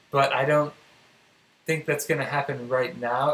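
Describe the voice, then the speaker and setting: A man with fairly even intonation. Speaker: crypto trading streamer. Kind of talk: live stream technical analysis. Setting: live stream. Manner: slow.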